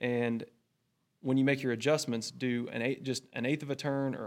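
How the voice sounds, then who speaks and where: A man speaks at a medium pitch with a Texan accent. His pace is moderate and his intonation fairly even. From North Central Texas. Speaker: oil and gas equipment account manager. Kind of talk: technical interview.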